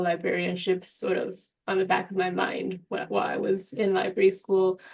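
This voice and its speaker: A woman with a Mandarin accent, medium pitch and fairly quick pace. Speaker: medical librarian. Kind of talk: panel discussion. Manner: halting, many fillers.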